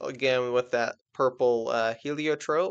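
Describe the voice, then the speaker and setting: A man speaks at a fairly slow pace with fairly even intonation against a quiet background. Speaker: presenter. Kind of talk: tutorial. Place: home room. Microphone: webcam.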